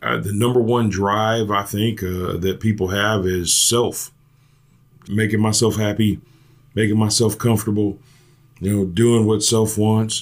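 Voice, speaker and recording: Fairly slow and fairly low in pitch, a man speaks with monotone, flat intonation. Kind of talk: casual chat.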